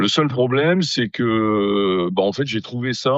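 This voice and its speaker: Lively intonation at a very slow pace. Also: man. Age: 60s. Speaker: amateur radio operator. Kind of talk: casual interview. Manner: hesitant, many fillers.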